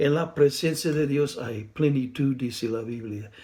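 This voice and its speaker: A man's fairly high voice, somewhat breathy and dark, mellow in tone, at a very slow pace with ordinary pitch variation and audible room echo. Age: 60s. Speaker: preacher. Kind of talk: sermon. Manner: halting.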